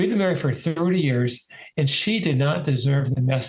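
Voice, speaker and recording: A man's normal speaking voice, fairly high in pitch, at a fairly quick pace with ordinary pitch variation. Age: 60s. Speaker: author and sales agent. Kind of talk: interview storytelling.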